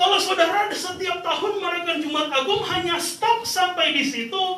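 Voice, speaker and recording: A man talks in an extremely high pitch, his voice raised and projected, at a moderate pace. His pitch varies an ordinary amount, and room echo is audible. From Indonesia, Manado (North Sulawesi). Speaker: pastor. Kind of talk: sermon. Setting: church service with congregation.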